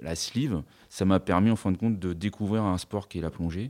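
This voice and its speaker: A man with a very deep, low pitch and a dark, mellow tone speaks at a moderate pace with ordinary pitch variation. The recording is very clean with a silent background. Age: 40s. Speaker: building contractor, cosmetic surgery patient. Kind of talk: testimony. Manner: halting, frequent hesitations.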